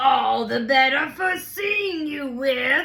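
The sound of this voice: A woman's put-on character voice, raspy and high-pitched, at a very slow pace.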